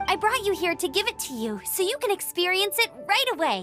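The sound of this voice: A woman in a cartoonish character voice talks at a fairly quick pace, her extremely high pitch taking big swings, her tone bright and sharp, with faint music in the background.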